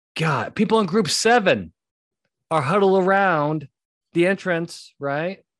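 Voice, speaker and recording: Against a quiet background, a man speaks in an animated tone with ordinary pitch variation. He goes at a fairly slow pace with long, frequent pauses. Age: 40s. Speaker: podcast host, litigation psychologist. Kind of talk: casual solo monologue with advice.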